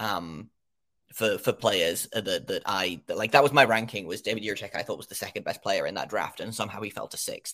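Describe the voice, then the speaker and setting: In an English accent, a man speaks at a fairly quick pace on a very clean recording with a silent background. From England. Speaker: hockey podcaster. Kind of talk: casual podcast chat. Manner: halting, hesitant with fillers.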